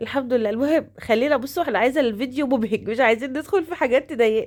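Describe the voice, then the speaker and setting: A woman with an Egyptian accent, high pitch, ordinary pitch variation and a very fast pace. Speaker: home cooking vlogger. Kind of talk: home vlog narration.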